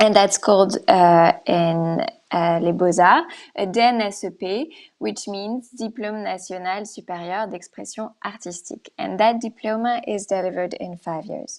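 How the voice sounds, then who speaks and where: Her loudness swings widely as this woman speaks at medium pitch and a moderate pace, with ordinary pitch variation. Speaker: art school representative. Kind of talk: presentation. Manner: hesitant, many fillers.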